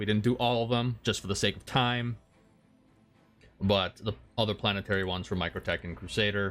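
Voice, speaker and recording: Over music in the background, a man talks at a fairly quick pace in a fairly low pitch with fairly even intonation. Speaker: gaming youtuber. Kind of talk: gameplay tutorial commentary. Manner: casual with many filler words.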